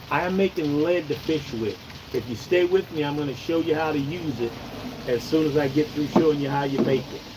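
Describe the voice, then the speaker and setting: Against noticeable background noise, a man with an American accent talks at a fairly quick pace in a fairly high pitch with ordinary pitch variation. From Oregon. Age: 60s. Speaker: outdoors channel host. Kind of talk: live stream tutorial. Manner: casual, chatty.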